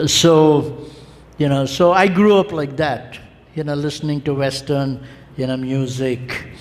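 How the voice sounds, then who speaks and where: Recorded with audible room echo and noticeable background noise, a man speaks with ordinary pitch variation. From India, family from Kerala. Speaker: theology lecturer. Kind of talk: lecture. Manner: frequent fillers, hesitant.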